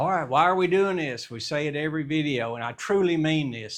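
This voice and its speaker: A man talks at a moderate pace in an unremarkable speaking voice with ordinary pitch variation. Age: 60s. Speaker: math teacher. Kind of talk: casual chat; tutorial. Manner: conversational.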